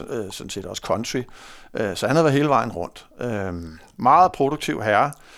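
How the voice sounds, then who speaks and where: Lively intonation runs through this man's speech, captured in a very clean recording with a silent background. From North Zealand, Denmark (Hundested). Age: 50s. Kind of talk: casual interview. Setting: studio. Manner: hesitant, many fillers.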